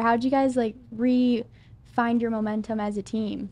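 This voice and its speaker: With fairly even intonation, a woman speaks at a fairly slow pace. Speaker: sports show interviewer. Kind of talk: interview. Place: studio. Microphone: studio mic.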